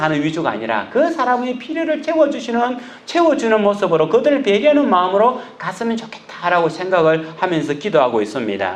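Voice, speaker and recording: Loud and high-pitched, a man speaks at a fairly quick pace with very wide pitch swings, amid noticeable background noise and audible room echo. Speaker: pastor. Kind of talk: sermon. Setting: church.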